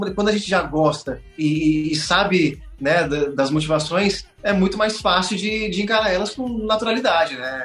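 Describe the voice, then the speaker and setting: A man speaks with a high pitch and ordinary pitch variation, hardly any pauses, audible room echo and noticeable background noise. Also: moderate pace. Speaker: pet content creator and voice actor. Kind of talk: casual interview chat.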